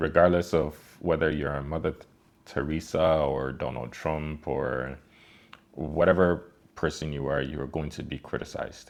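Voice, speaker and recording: With vocal fry and fairly even intonation, a man speaks at a moderate pace in a very deep, low pitch. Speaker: online course creator. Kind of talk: motivational talk to camera. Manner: casual, conversational with fillers.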